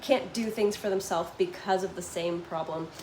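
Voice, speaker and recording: Someone with an American accent talks at a fairly quick pace with ordinary pitch variation, amid audible room echo and noticeable background noise. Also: woman. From Canada, Toronto. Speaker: vlogger living abroad. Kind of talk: live stream chat with viewers. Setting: live stream at home. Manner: casual, filler-heavy.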